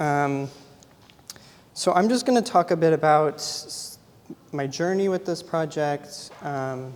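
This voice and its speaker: A man at a fairly high pitch with ordinary pitch variation, speaking at a very slow pace with long, frequent pauses amid noticeable background noise. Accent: American. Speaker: photographer. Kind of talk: artist talk. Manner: frequent filler 'um'.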